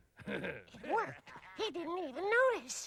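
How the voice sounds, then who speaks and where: This is a cartoonish character voice at an extremely high pitch. The pace is moderate. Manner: hesitant, stammering.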